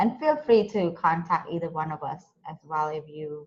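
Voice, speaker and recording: A woman with an American accent, somewhat breathy, at a fairly slow pace with ordinary pitch variation. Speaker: nonprofit co-director. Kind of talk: panel Q&A on video call.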